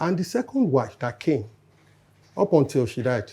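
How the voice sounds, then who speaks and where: A man talks at a moderate pace in a dark, mellow tone. His voice is somewhat breathy. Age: 60s. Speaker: panel guest. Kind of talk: casual chat.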